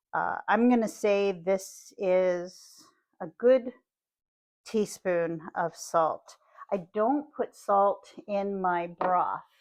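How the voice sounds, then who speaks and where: Speaking at a very slow pace, a woman with a Pittsburgh accent uses a medium pitch. Her pitch varies in an ordinary way. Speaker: cooking channel host. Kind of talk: cooking tutorial. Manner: casual, chatty.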